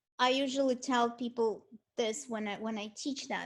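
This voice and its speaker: Her voice is high-pitched, with a Russian accent and ordinary pitch variation. The woman talks at a fairly slow pace. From Ukraine (Kyiv), Soviet Union. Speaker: art history lecturer. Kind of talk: lecture. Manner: halting, many repetitions.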